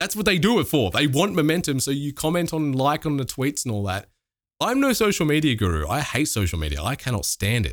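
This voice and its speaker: With an Australian accent and vocal fry, a man speaks at a fairly quick pace, his pitch swinging very widely. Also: fairly high pitch for a man. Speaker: streamer and YouTuber. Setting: remote call.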